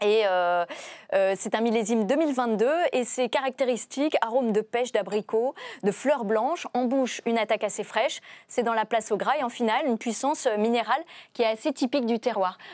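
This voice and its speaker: Against a quiet background, a woman with an ordinary speaking voice, fairly high in pitch, speaks at a moderate pace with ordinary pitch variation and very even loudness. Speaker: TV host. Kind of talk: interview presenting. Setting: studio. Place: studio. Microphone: lapel.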